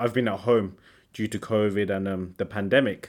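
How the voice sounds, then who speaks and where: With an English accent, a man talks at a moderate pace on a very clean recording with a silent background. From England, Sri Lankan family. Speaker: seminarian, podcast co-host. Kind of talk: casual faith conversation. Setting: seminary room.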